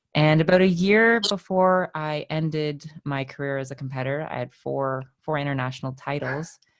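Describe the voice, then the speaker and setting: A moderate pace in a Canadian accent. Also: woman, very deep, low pitch for a woman, ordinary pitch variation, hardly any pauses. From Canada. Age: 30s. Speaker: fitness coach. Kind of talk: interview.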